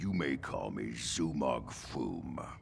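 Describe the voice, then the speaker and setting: A raspy, put-on character voice from a man, very slow in pace, over light background noise. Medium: video game. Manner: condescending, boastful.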